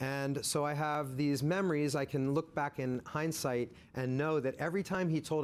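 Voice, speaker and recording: A man with an American accent, talking at a fairly quick pace. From central Pennsylvania (Harrisburg area), US. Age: 60s. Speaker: diversity consultant and speaker. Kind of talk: personal storytelling talk. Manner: conversational, with fillers.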